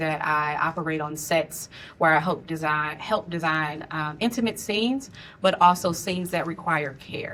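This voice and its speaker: At a moderate pace, a woman with an American accent speaks in a bright, sharp tone at a fairly low pitch. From US Midwest, St. Louis, Missouri. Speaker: filmmaker and intimacy coordinator. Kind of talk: panel discussion.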